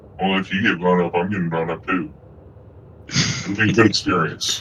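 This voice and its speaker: A man puts on a character voice with a very deep, low pitch. He talks at a moderate pace with fairly even intonation over clear background noise. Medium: actual play. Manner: playful, teasing.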